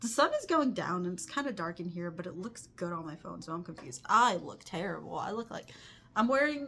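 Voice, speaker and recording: A woman with a medium-pitched voice talks fairly quickly, her tone bright and sharp. Her pitch swings very widely and her loudness varies a lot. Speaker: crochet artist and vlogger. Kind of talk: casual vlog talk. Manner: fast, rambling.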